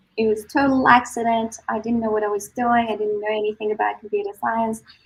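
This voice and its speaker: A woman talks at a fairly quick pace with a fairly high pitch. Her voice is somewhat breathy and her intonation monotone and flat. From Iran. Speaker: software engineer. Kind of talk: panel discussion.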